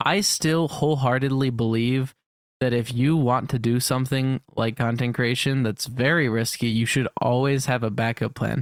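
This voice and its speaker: With an unremarkable speaking voice, a man talks at medium pitch, his intonation fairly even and his loudness very even. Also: moderate pace. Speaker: podcast co-host and YouTube creator. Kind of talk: casual chat.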